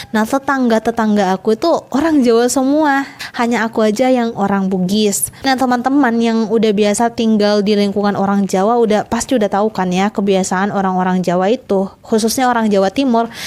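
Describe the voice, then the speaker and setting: A woman's voice at a fairly quick pace, very even in loudness, with ordinary pitch variation and noticeable background noise. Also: fairly high pitch for a woman, hardly any pauses. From Southeast Sulawesi, Indonesia. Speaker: vlogger. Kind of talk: casual vlog talk. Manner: animated.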